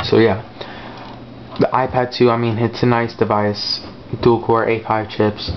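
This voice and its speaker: Over noticeable background noise, a man mumbles at a moderate pace in a medium pitch. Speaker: tech reviewer. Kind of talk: casual product review. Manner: hesitant, many fillers; mumbling.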